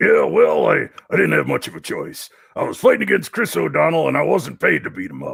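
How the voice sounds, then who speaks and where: A man puts on a character voice. He talks at a fairly quick pace. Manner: gruff.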